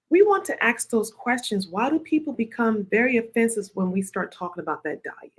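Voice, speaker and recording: A woman's somewhat breathy voice with very wide pitch swings. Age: 50s. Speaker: nurse practitioner and health show host. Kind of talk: live health talk show. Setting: live video stream.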